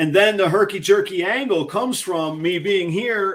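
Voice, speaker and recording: In a raised, projected voice, a man speaks at a high pitch with ordinary pitch variation and an animated, excited tone that is bright and sharp. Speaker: ball python breeder and YouTuber. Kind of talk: live stream casual chat.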